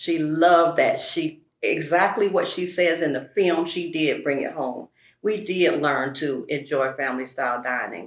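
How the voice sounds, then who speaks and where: A woman uses an unremarkable speaking voice at a fairly low pitch. She moves at a fairly slow pace with ordinary pitch variation. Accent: American. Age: 60s. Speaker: early education supervisor. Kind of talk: interview.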